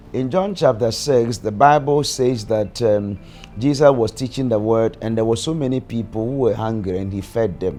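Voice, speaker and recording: A man at a moderate pace, ordinary pitch variation, music in the background. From Ghana. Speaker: prophet and church leader. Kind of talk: documentary interview answer.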